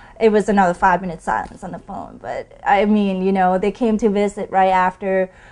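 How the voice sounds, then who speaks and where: A woman with a Thai accent speaks at a medium pitch. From Thailand. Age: 20s. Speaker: pool player. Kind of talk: interview storytelling.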